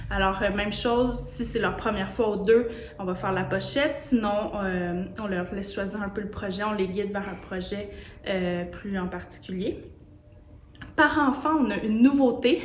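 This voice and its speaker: A woman with a Quebec accent talks at a fairly slow pace in a medium pitch with ordinary pitch variation. Noticeable background noise and audible room echo fill the recording. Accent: Québécois French. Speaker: sewing studio owner. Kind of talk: casual promotional talk. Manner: hesitant, many fillers.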